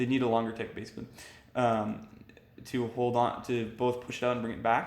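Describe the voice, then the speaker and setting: Audible room echo carries a man's medium-pitched voice, delivered with monotone, flat intonation. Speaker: gaming YouTuber. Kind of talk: tutorial. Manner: fast; casual with fillers. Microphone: mic died, poor substitute audio.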